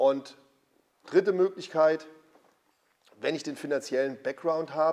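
A man is speaking. His pace is moderate. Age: 50s. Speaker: former pro bodybuilder and gym owner. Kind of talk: casual interview.

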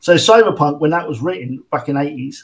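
A man with a British accent, fairly high in pitch, at a moderate pace. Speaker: tabletop game designer. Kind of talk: interview.

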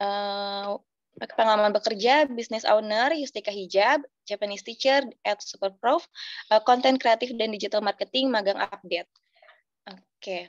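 A woman speaks in a fairly high voice at a moderate pace, with ordinary pitch variation and big swings in loudness. The sound is dry with no echo, and the background is quiet. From Indonesia. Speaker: moderator. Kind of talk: webinar moderation. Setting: video call. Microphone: video call.

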